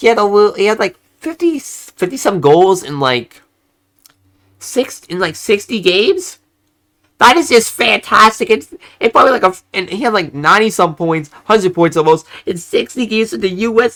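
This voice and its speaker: A man's bright, sharp, high-pitched voice moves at a moderate pace with lively intonation. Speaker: hockey YouTuber. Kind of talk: solo commentary video. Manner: halting, repeats and stumbles.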